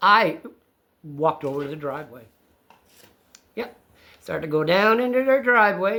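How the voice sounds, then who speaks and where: A man speaks in a raised, projected voice with a bright, sharp tone and high pitch, his pitch swinging very widely. His pace is moderate, with long, frequent pauses. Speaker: channel co-host recounting an incident. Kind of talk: casual storytelling conversation. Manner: loud; animated.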